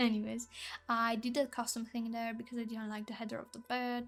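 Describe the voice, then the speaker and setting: Speaking at a moderate pace with a non-native accent, a woman uses a fairly high pitch and monotone, flat intonation in a very clean recording with a silent background. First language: not English. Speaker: Sims builder and content creator. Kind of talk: voice-over commentary on a speed build. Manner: casual, hesitant with fillers and restarts.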